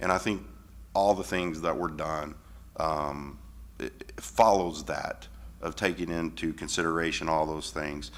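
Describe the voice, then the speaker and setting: Using vocal fry, a man speaks at a fairly slow pace with a very deep, low pitch and ordinary pitch variation. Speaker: school board member. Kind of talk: board meeting discussion. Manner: loud; hesitant, many fillers.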